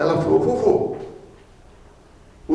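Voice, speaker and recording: There is audible room echo along with noticeable background noise. A man speaks at a moderate pace. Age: 60s. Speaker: deacon preacher. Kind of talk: sermon. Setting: prayer group meeting.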